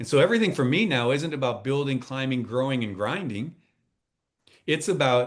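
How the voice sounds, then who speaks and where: An ordinary speaking voice from a man, medium in pitch, with lively intonation. His pace is fairly quick. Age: 60s. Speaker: transformational coach and speaker. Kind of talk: podcast interview.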